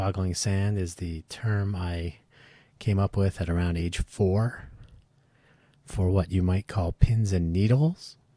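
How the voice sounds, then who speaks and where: Very slowly and with long, frequent pauses, a man speaks in a very deep, low voice with a dark, mellow, somewhat breathy tone on a very clean recording with a silent background. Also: ordinary pitch variation. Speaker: podcast host. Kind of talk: solo podcast monologue.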